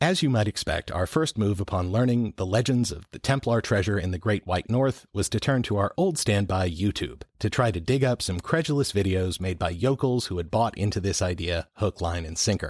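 A man with an ordinary speaking voice talks at a fairly quick pace with hardly any pauses, in a fairly low pitch with lively intonation. The recording is very clean, with a silent background. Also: dry, close sound with no echo. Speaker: podcast host. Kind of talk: scripted narration with co-host banter.

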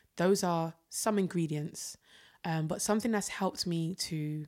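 In a South London accent, a woman speaks fairly slowly at a fairly low pitch with ordinary pitch variation. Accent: South London English, Jamaican heritage. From London, Peckham. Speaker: singer and creative director. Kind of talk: casual chat.

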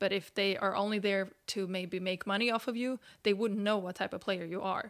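A woman speaks at a moderate pace with a Swedish accent and fairly even intonation. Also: very clean recording, silent background. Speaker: footballer and podcast host. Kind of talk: casual interview.

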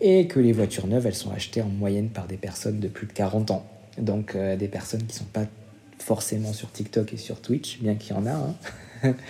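This man's voice is fairly low, somewhat breathy, and dark and mellow in tone. He talks at a moderate pace with ordinary pitch variation. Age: 30s. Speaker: marketing director at an influencer agency. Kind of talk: interview. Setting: remote recording. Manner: hesitant, many fillers.

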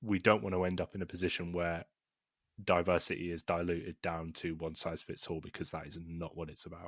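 A man with a very deep, low pitch talks at a fairly quick pace and with fairly even intonation. The sound is dry and close with no echo, on a very clean recording with a silent background. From Scotland, Glasgow. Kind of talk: casual chat.

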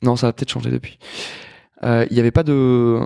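A man speaks at a fairly quick pace, with a dry, close sound and no echo. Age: 30s. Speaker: chef and restaurateur. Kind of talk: casual interview conversation.

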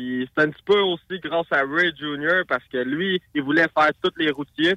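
Fairly slow, lively speech from a man at a fairly high pitch. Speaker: race car driver. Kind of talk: radio interview. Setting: phone call.

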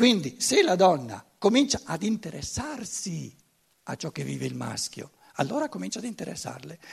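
His loudness rises and falls in big swings. The man speaks at a moderate pace. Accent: German. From Germany. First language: German (speaking Italian). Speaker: lecturer. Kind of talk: lecture. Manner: halting, frequent repetitions.

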